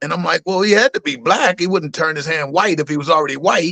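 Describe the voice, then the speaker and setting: With an American accent and vocal fry, a man speaks with ordinary pitch variation in a dry, close sound with no echo. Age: 60s. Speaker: caller. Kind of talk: call-in testimony.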